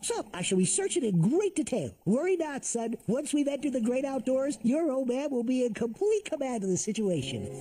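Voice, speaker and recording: In a cartoonish character voice of fairly high pitch, the speaker rattles on at a fairly quick pace with hardly any pauses. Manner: formal, precise.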